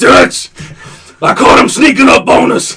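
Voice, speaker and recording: A man puts on a character voice. He speaks at a moderate pace. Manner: suspicious, menacing.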